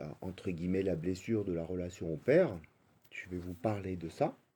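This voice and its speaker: A man's very deep, low voice carries his words at a moderate pace. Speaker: spiritual coach. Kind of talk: spiritual talk. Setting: live stream. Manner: halting, many fillers.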